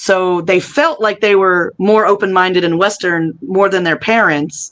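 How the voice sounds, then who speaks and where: A woman with a plain, everyday voice speaks at medium pitch in an American accent, with ordinary pitch variation. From United States. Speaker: voiceover artist. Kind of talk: interview answer. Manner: casual, chatty.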